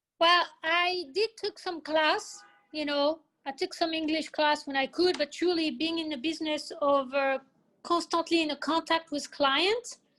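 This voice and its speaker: A woman's extremely high voice with a bright, sharp tone, ordinary pitch variation, a fairly slow pace and a French accent. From France. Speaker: hair salon owner. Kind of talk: interview.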